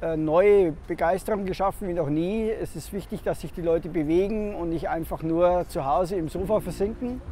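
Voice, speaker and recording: A man with a high-pitched voice and fairly even intonation speaks over light background noise, with a dry sound and no echo. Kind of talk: interview answer. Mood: hopeful, confident. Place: waterside.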